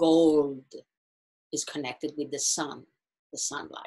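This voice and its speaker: The speaker is a woman with an Italian accent. She talks at a fairly slow pace. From Italy. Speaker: astrologer and meditation guide. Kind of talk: talk to online group. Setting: video call. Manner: halting.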